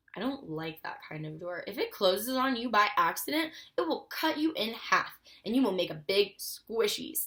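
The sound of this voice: The clip features an unforced reading voice.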